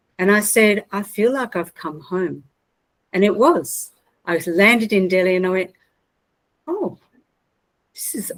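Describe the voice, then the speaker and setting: Speaking fairly slowly with an Australian accent, a woman uses a medium pitch. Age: 60s. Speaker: mental health trainer and consultant. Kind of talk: personal storytelling talk.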